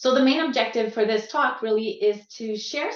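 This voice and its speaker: With a Quebec accent, a woman speaks at a moderate pace in a fairly high pitch with ordinary pitch variation. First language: French. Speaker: quality assistance coach. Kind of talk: conference talk. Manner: halting, searching for words.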